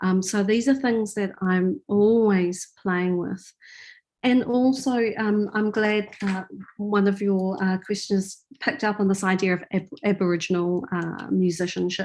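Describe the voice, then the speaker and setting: In a New Zealand accent, a woman speaks at a fairly slow pace against a quiet background. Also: medium pitch for a woman, ordinary pitch variation. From New Zealand, Auckland. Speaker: artist and filmmaker. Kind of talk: Q&A after lecture. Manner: halting.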